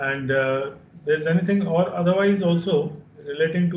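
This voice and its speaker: The man's voice is fairly high, with fairly even intonation. He talks at a moderate pace amid audible room echo. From India. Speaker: training program moderator. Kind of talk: formal introductions and moderation. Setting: video call webinar. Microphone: video call.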